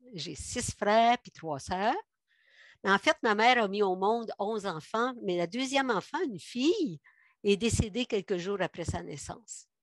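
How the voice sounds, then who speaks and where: Lively intonation and big swings in loudness mark this fairly slow delivery, heard against a quiet background with a dry, close sound and no echo. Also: woman, medium pitch for a woman. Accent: Quebec. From Quebec, Montérégie. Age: 70s. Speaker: guest giving a faith testimony. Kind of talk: testimony. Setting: video call.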